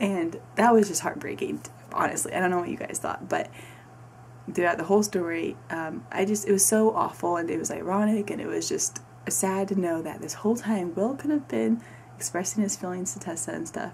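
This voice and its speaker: Noticeable background noise surrounds a voice that moves at a fairly quick pace with very wide pitch swings. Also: woman, fairly low pitch for a woman. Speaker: book reviewer. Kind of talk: casual book review.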